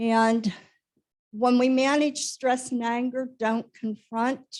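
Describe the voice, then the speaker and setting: Her intonation is fairly even. The woman talks at a very slow pace. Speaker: conference speaker, former nurse. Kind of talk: lecture.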